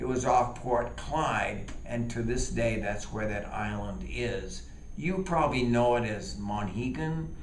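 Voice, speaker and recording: A man talks at a fairly slow pace. The room echo is audible and the background noise is noticeable. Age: 70s. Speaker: storyteller. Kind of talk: tall tale storytelling.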